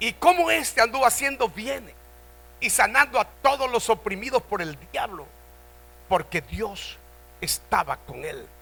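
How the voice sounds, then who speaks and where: A man speaks in a raised, projected voice at an extremely high pitch, with a bright, sharp tone and very wide pitch swings. His pace is fairly slow, with long, frequent pauses and big swings in loudness. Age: 70s. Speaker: pastor. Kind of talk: sermon. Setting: church convention.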